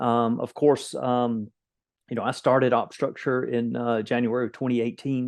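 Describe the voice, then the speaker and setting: Medium-pitched male speech at a moderate pace in a Florida Panhandle accent, over a quiet background. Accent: Floridian Panhandle. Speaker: executive protection company owner. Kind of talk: interview.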